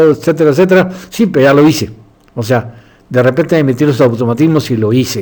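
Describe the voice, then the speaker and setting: Speaking at a fairly quick pace, a man with a dark, mellow tone shows ordinary pitch variation. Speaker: doctor and philosophy lecturer. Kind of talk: lecture. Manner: halting.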